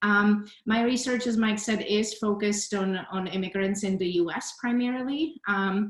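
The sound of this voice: With audible room echo, a woman talks at a moderate pace and medium pitch, using ordinary pitch variation.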